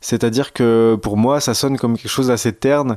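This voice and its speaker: The sound is dry and close, with no echo, on a very clean recording with a silent background. A man talks at a moderate pace and medium pitch with fairly even intonation. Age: 40s. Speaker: podcaster, expectant father. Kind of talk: personal testimony monologue. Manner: hesitant, many fillers.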